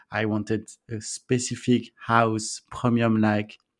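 In a very clean recording with a silent background, a man speaks very slowly in a French accent. His medium pitch stays in a monotone, flat intonation. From France. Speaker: entrepreneur, co-living founder. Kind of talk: interview. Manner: halting, hesitant with fillers.

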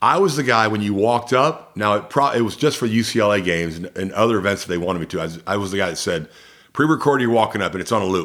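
Talking at a very fast pace with ordinary pitch variation, a man is heard on a very clean recording with a silent background. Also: fairly low pitch for a man. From US South, Columbus, Georgia. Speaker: PA announcer and voice actor. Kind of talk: casual interview chat.

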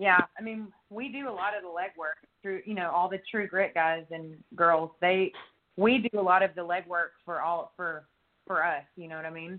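Big swings in loudness mark this woman's speech, which holds a medium pitch, ordinary pitch variation and a moderate pace. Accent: Texan. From East Texas (Longview). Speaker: country singer. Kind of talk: casual interview chat.

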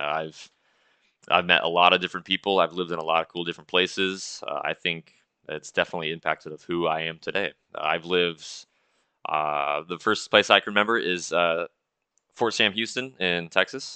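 In an American accent, a man speaks with a very deep, low pitch and a bright, sharp tone at a fairly quick pace. His intonation is fairly even, and the sound is dry and close with no echo against a quiet background. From Seattle, Washington. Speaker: Coast Guard seaman, snake keeper. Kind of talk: casual interview.

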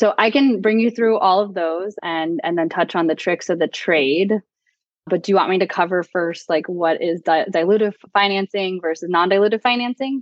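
Speaking with an American accent, a woman keeps a moderate pace, a medium pitch and ordinary pitch variation. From Florida, US. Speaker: tech entrepreneur. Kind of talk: interview.

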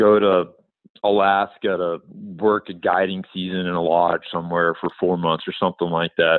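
Very deep and low in pitch, a man with a Texan accent talks at a moderate pace in a monotone, flat intonation. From Texas, Amarillo. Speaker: filmmaker and pack trip guide. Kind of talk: interview.

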